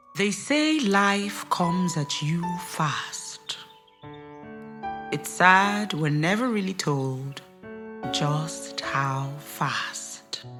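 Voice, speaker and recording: With music in the background, a woman with a fairly low pitch speaks at a very slow pace with lively intonation. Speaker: gospel spoken word artist. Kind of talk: spoken word poetry performance.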